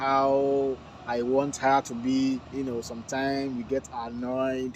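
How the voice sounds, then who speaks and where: A man with a Nigerian accent talks at a medium pitch against noticeable background noise. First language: Yoruba. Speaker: vlogger. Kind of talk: casual vlog talk to camera.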